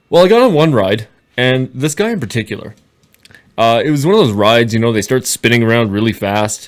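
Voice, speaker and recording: At a fairly quick pace, the speaker uses an ordinary speaking voice with a Canadian accent and ordinary pitch variation. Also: man, medium pitch for a man. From Canada. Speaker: podcaster. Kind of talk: tutorial.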